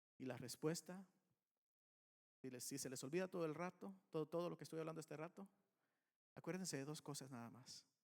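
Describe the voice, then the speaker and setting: A man with a fairly high pitch speaks at a fairly quick pace with ordinary pitch variation, leaving long, frequent pauses. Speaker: pastor. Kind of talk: sermon.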